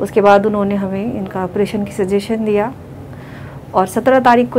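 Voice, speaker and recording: Against light background noise, a woman with a fairly high pitch talks at a moderate pace with ordinary pitch variation. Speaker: patient's daughter-in-law. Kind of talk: family testimonial. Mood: grateful, calm.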